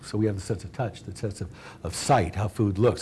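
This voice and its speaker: A dark, mellow tone marks this man's somewhat breathy voice. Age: 60s. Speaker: restaurant company co-founder. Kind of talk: talk to students.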